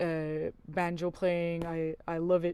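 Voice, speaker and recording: The speaker talks at a very slow pace with a French accent. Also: woman. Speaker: musician. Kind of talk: interview. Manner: halting, many fillers.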